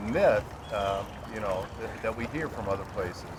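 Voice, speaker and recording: A man with an American accent speaks at a fairly slow pace with very wide pitch swings. Noticeable background noise is present. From California. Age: 60s. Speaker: historian interviewer. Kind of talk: interview. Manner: halting.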